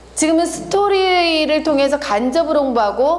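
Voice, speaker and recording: Her voice is high in pitch. The woman is heard with audible room echo and noticeable background noise. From Korea, not Jeolla. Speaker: marketing lecturer. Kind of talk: lecture.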